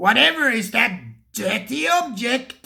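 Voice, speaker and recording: This put-on character voice sits at a fairly high pitch. It moves at a fairly slow pace. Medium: read story. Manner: mild, hesitant.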